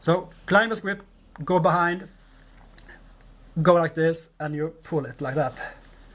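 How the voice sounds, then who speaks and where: Long, frequent pauses break up this fairly slow speech in a non-native accent. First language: Norwegian. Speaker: massage therapist. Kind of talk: tutorial. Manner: halting.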